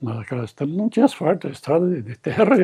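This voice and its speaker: Somewhat breathy and dark, mellow in tone, a man's voice moves through very wide pitch swings. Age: 80s+. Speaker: elderly former local councillor. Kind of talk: interview. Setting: at home. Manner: halting, repeating words.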